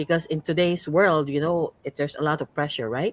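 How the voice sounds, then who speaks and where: A woman speaks in a Cebuano accent at a very deep, low pitch. The recording is very clean and dry, close-sounding with no echo and a silent background. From Cebu, Philippines. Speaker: podcast host and coach. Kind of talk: podcast interview.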